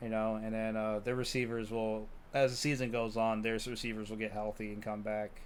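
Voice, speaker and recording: With audible room echo, a man talks at a medium pitch and a fairly quick pace, his intonation monotone and flat. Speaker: sports podcast host. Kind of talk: casual chat.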